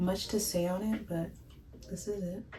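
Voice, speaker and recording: A soft-spoken woman with a calm tone, fairly even intonation and audible room echo. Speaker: beauty vlogger. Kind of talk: tutorial.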